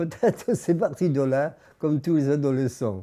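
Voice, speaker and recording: A man with a fairly high pitch and a dark, mellow tone speaks at a fairly slow pace. The recording is very clean, with a silent background. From Nice, France. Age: 90s. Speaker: amateur poet. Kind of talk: interview answer. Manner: hesitant.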